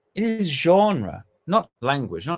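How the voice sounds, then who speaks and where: A man speaks with a British accent. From Britain. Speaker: academic; conference speaker. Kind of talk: conference talk. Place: home room.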